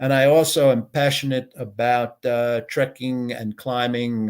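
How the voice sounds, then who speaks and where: A man at medium pitch speaks with an American accent and fairly even intonation in a very clean recording with a silent background. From United States. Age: 60s. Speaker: business consultant and entrepreneur. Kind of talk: interview, casual conversation. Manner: hesitant, many filler words.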